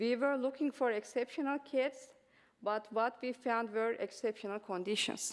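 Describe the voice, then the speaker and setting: A woman speaks with a Turkish accent. Her pitch is fairly high and her pace moderate. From Turkey. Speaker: mathematics professor. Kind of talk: conference presentation. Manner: halting, many fillers.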